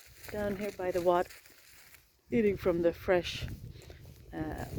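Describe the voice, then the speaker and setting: A woman speaks with a Swedish accent. Noticeable background noise runs behind her. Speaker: healer. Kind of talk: casual vlog narration while walking. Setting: outdoors.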